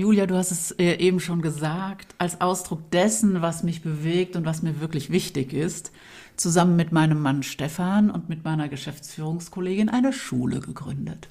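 In a somewhat breathy voice, a woman keeps to a moderate pace. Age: 50s. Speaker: school founder and coach. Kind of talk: interview conversation.

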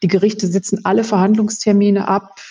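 Her voice has a dark, mellow tone. The woman sounds somewhat breathy. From Westphalia, Germany. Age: 50s. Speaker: lawyer. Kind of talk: expert interview. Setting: remote call.

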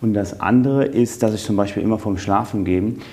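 Speaking with a slight Cologne accent, the voice keeps a fairly even intonation. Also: man. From western Germany, Eifel region between Cologne and Trier. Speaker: business executive. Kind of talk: interview. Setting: in person in Düsseldorf.

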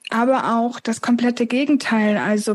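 A woman's fairly high voice at a moderate pace. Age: 20s. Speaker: author with chronic illness. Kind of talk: interview.

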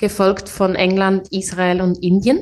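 Very slow speech from a woman, quiet background. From Switzerland, Biel. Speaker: tech account manager and founder. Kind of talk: interview.

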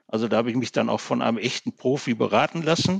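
Pitch rises and falls across a very wide range. There is no echo, and the sound comes across dry and close. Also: man. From Ruhr area, Gelsenkirchen (Germany). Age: 60s. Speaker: public administration manager and workplace safety expert. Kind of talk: podcast interview.

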